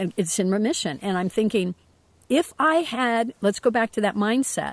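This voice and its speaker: The pace is moderate. The sound is dry and close, with no echo. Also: woman. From Ohio, near Cincinnati. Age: 60s. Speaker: host's mother. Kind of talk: casual chat. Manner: halting.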